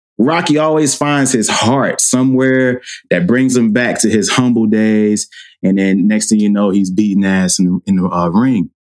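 At a fairly slow pace, a man speaks in an unremarkable speaking voice with lively intonation and very even loudness. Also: medium pitch for a man. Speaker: podcast host. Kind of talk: casual chat.

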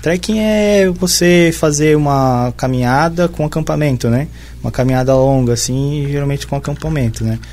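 A man speaks with a southern Brazilian accent. His pitch is fairly high and his pace moderate. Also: ordinary pitch variation. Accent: southern Brazilian, sing-song. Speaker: biologist. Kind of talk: casual chat.

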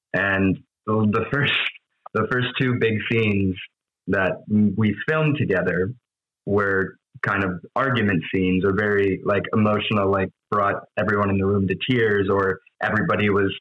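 This is an ordinary speaking voice from a man with an American accent and a fairly low pitch. He keeps a moderate pace and fairly even intonation. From Wisconsin, US Midwest. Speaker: actor. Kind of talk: casual chat.

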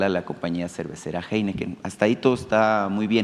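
A man with an ordinary speaking voice talks at a fairly quick pace, his fairly low pitch carrying fairly even intonation. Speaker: journalist. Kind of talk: press conference question.

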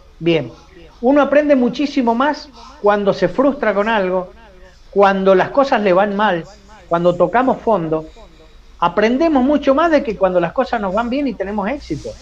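A high-pitched man at a moderate pace, lively in intonation, with long, frequent pauses and noticeable background noise. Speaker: psychologist and university professor. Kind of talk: interview.

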